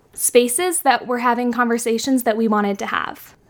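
In a West Coast accent, a woman talks at a moderate pace in a high voice. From San Francisco. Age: 20s. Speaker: magazine editor and student. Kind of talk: casual interview.

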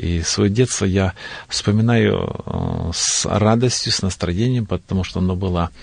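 A man's very deep, low voice shows ordinary pitch variation. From North Caucasus, Russia. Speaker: pastor. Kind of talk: studio interview. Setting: studio.

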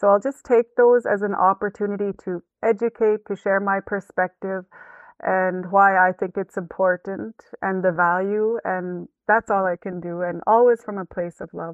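In a plain, everyday voice, a woman speaks at a moderate pace with a medium pitch and fairly even intonation. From Canadian Western Arctic, Northwest Territories. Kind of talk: interview.

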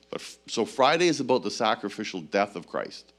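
A normal speaking voice moves at a moderate pace on a very clean recording with a silent background. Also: man. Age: 60s. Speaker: pastor. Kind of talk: sermon. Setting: church.

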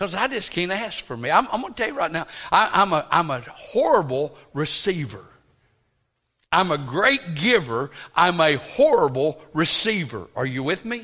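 In a high, bright and sharp voice, a man talks at a moderate pace with an animated tone and very wide pitch swings. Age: 60s. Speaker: pastor. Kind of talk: sermon. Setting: church.

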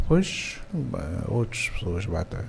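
A somewhat breathy man's voice, dark and mellow in tone, moving at a fairly slow pace. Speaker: music composer. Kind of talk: casual interview. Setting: studio.

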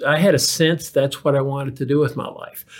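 Somewhat breathy and fairly high in pitch, a man talks at a very fast pace on a very clean recording with a silent background. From Kentucky. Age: 60s. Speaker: physician and healthcare executive. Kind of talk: interview. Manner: halting, many fillers and repetitions.

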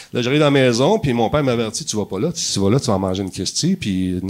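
With lively intonation, a man rushes through his words at a very fast pace. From Quebec, Montreal (LaSalle). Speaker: TV host and gaming personality. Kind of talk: casual chat. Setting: stage with audience.

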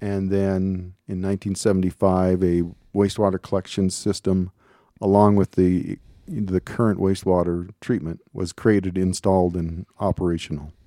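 In a very clean recording with a silent background, a man speaks at a moderate pace in a very deep, low pitch, his dark, mellow tone flat and monotone with a dry, close sound and no echo. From Minnesota. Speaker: water district operator. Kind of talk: radio interview.

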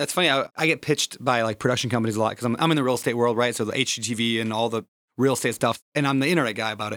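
Very fast speech with an American accent in a dry, close sound with no echo. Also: man, medium pitch for a man, ordinary pitch variation, very clean recording, silent background. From small town Minnesota, US Midwest. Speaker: podcast host. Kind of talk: casual interview.

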